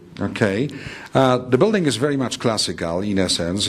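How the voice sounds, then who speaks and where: A man speaks at a fairly quick pace with a Polish accent. Noticeable background noise runs underneath. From Poland. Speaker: architect. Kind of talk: interview. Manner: measured, formal.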